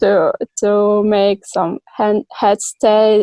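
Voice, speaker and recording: A woman's dark, mellow tone with monotone, flat intonation, in dry, close sound with no echo. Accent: non-native. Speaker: yoga teacher. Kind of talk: interview answer. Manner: hesitant.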